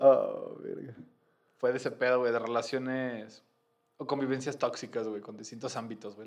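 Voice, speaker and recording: In a Mexican accent, a man talks at a medium pitch and a moderate pace, his loudness swinging widely. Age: 30s. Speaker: podcaster. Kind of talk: casual chat.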